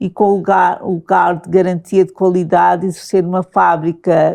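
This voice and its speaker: A woman speaks at a moderate pace. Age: 60s. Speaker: person with lived experience. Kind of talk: interview.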